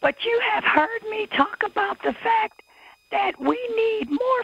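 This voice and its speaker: A woman's very slow speech, dry with no echo, against a quiet background. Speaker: public commenter at city council. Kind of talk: public comment. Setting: city council meeting. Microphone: video call.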